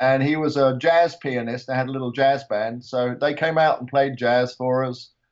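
A man speaks with an English accent at a medium pitch and a moderate pace. His intonation stays monotone and flat, with hardly any pauses. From England. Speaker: retired motorsport museum director and author. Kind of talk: casual chat.

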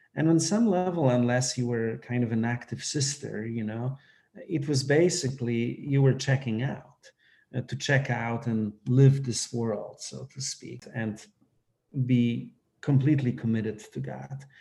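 A man speaks fairly slowly in a medium pitch with ordinary pitch variation. His tone is dark and mellow, and somewhat breathy. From Poland. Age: 40s. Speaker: priest. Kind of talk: casual chat.

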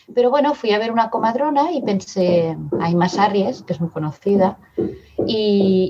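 Over noticeable background noise, a woman speaks at a moderate pace in a medium pitch, her intonation lively. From Barcelona area, Spain (born in Madrid). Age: 50s. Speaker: mother sharing birth story. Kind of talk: testimony.

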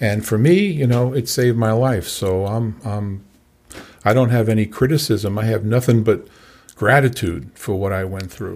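With an ordinary speaking voice, a man talks at a moderate pace and a medium pitch, with ordinary pitch variation. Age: 60s. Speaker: recovery coach. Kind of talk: interview. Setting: studio.

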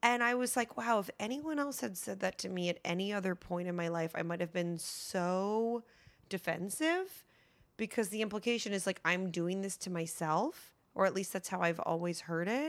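An ordinary speaking voice moves at a moderate pace with lively intonation over a very clean recording with a silent background. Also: woman, medium pitch for a woman. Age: 30s. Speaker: actress and writer. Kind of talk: casual interview.

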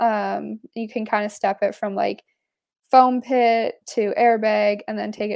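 The speaker has a western Canadian accent and talks at a fairly slow pace. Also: woman. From Canada, British Columbia (Pemberton/Whistler). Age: 20s. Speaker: mountain biker and nurse. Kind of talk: casual chat.

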